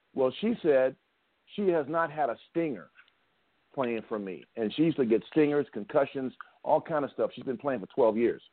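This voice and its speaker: In an ordinary speaking voice, a man with a fairly high pitch talks at a moderate pace with lively intonation. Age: 60s. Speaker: football coach and tackling trainer. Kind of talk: casual chat.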